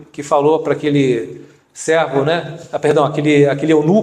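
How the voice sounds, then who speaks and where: Audible room echo colors this man's voice. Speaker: deacon preacher. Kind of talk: sermon.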